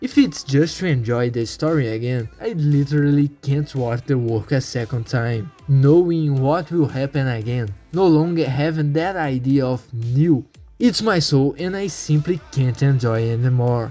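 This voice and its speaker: A man with a non-native accent, a fairly high pitch, ordinary pitch variation, a moderate pace and hardly any pauses, with music in the background. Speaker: anime commentary YouTuber. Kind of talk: video essay narration.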